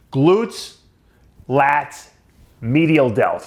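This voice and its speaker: Here a man speaks with a Long Island accent. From Long Island, New York. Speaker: bodybuilding commentator. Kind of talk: casual rant to camera.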